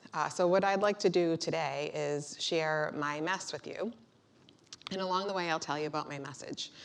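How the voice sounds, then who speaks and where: A woman with a Boston accent speaks at a moderate pace in a fairly low voice, her intonation fairly even. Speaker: motivational speaker, bombing survivor. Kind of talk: keynote speech. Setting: stage with audience. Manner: hesitant, many fillers.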